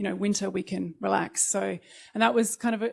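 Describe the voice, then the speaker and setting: A woman speaks with an Australian accent at medium pitch. Her intonation is fairly even. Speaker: disaster management professional, panelist. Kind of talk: panel presentation. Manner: hesitant, many fillers.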